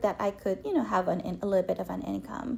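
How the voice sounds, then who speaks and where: Noticeable background noise sits behind a woman speaking in a Filipino accent. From Philippines. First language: Filipino language (Tagalog or regional). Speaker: storyteller sharing life story. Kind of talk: personal testimony interview. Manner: halting, with many fillers.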